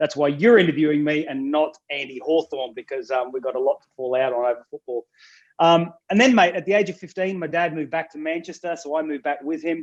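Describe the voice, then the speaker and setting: In an Australian accent, a man talks at a very fast pace with a fairly high pitch and ordinary pitch variation, the sound dry and close with no echo. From country Australia. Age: 40s. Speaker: pastor. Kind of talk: casual interview.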